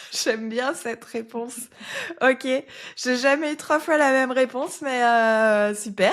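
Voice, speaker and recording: A woman with a high pitch and ordinary pitch variation speaks at a very slow pace. Her long, frequent pauses come through on a very clean recording with a silent background. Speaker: podcast host. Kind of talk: interview podcast.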